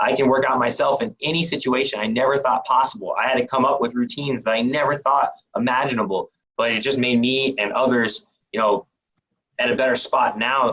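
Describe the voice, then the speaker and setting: A man at a medium pitch, with ordinary pitch variation and a fairly quick pace. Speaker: personal trainer. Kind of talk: presentation; Q and A. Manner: fast; casual.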